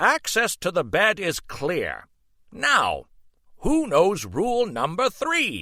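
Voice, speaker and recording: A man uses a put-on character voice, pitched high. He speaks at a very slow pace on a very clean recording with a silent background. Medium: read story. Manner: formal, instructive.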